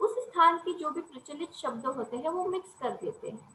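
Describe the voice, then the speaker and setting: With a non-native accent, a woman uses a raised, projected voice at an extremely high pitch. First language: not Kannada (speaking Hindi). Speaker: college lecturer. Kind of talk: lecture.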